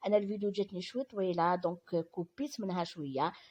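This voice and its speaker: Her voice sits fairly low. The woman talks at a moderate speed. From Algeria. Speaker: vlogger. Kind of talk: vlog voiceover narration. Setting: voiceover recorded after filming. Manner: halting, many fillers and restarts.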